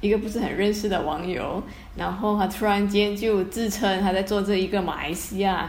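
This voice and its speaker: A woman at medium pitch, with noticeable background noise and audible room echo. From Malaysia. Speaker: architect, heritage conservation volunteer. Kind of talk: casual chat.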